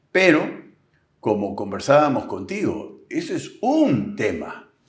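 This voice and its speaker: The speech comes at a very slow pace, with audible room echo around it. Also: man. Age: 70s. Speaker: agricultural businessman and political commentator. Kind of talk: interview.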